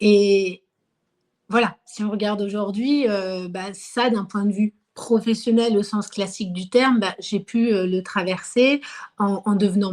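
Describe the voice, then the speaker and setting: A woman with a medium-pitched voice talks fairly slowly, her intonation fairly even. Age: 30s. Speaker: market gardener and former researcher. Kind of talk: interview. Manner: hesitant, many fillers.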